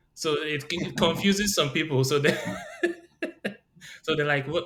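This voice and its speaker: Audible room echo surrounds a man with a fairly high voice. He speaks at a moderate pace with fairly even intonation. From Nigeria. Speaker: podcast co-host. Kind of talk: casual chat.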